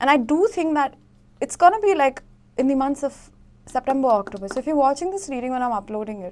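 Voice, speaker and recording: Very wide pitch swings at a very fast pace. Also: woman, high pitch for a woman. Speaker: tarot reader. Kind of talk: tarot reading to camera.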